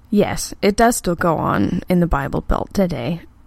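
A woman with an American accent speaks at a fairly slow pace in a fairly low pitch, her tone animated and her intonation lively. Noticeable background noise runs behind her. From Texas. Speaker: sex educator and online radio host. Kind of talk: casual live talk show reading chat. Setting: live internet radio broadcast. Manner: animated, frequent laughter.

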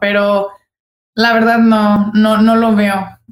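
A woman talks with a fairly high pitch. Audible room echo is present. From Guadalajara, Mexico. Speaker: basketball player. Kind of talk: casual interview.

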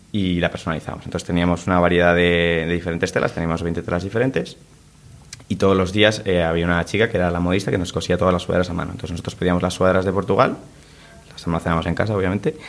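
A man talks at a very fast pace in a very deep, low voice. His intonation stays fairly even over noticeable background noise. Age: 20s. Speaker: clothing brand co-founder. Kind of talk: interview.

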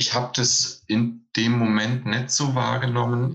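A man speaks in a bright, sharp tone. His pace is very slow. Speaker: stuntman. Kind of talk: casual chat.

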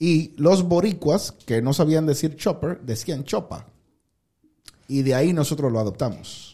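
A man speaks at a fairly slow pace in a fairly high pitch with ordinary pitch variation. His tone is dark and mellow and somewhat breathy. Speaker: podcast host. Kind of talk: casual chat. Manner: low-key, calm-sounding.

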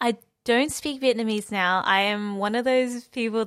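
A woman with an Australian accent speaks at a fairly slow pace in a fairly high pitch. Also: very clean recording, silent background. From Melbourne, Australia. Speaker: dancer. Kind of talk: casual chat. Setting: studio.

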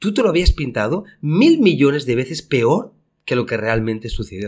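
Somewhat breathy and fairly high-pitched, a man talks at a moderate pace with very wide pitch swings on a very clean recording against a silent background. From Spain. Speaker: podcast co-host, entrepreneur. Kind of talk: casual chat.

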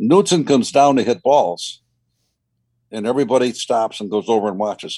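A man's dark, mellow voice with lively intonation and long, frequent pauses. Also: medium pitch for a man, fairly quick pace. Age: 80s+. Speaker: golf club company founder. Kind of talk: interview. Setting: video call.

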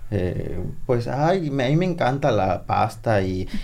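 A man is speaking. His tone is dark and mellow. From Sonora, Mexico (San Pedro de la Cueva). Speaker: chef and TV cook. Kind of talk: casual chat.

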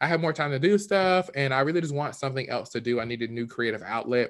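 An American-accented man talks at a fairly quick pace against a quiet background. His fairly high voice has a bright, sharp tone and lively intonation. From South Carolina. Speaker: podcast host. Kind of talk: casual monologue. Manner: animated.

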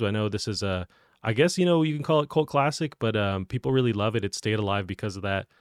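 A man with an ordinary speaking voice and medium pitch talks with lively intonation, the sound dry and close with no echo. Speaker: podcast host. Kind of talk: casual chat. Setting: video call.

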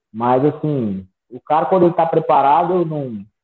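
Speaking at a moderate pace, a man uses an ordinary speaking voice with fairly high pitch and ordinary pitch variation. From Brazil, Minas Gerais (Sete Lagoas). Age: 30s. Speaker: MMA fighter. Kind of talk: interview.

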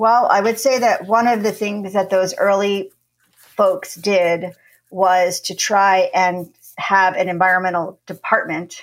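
A woman with a plain, everyday voice at a fairly slow pace. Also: medium pitch for a woman, fairly even intonation. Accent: American. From New Jersey. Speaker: documentary producer and university lecturer. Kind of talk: interview.

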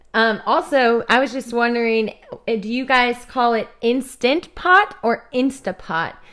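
At a fairly slow pace and with ordinary pitch variation, the speaker has a Midwestern American accent on a very clean recording with a silent background. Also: woman. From Kansas City, Missouri. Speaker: missionary and podcast co-host. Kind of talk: casual chat.

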